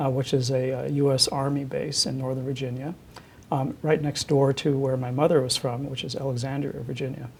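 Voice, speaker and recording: A man at medium pitch speaks with monotone, flat intonation. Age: 60s. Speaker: university president and physician. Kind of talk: oral history interview. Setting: office. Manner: hesitant, many fillers and repetitions.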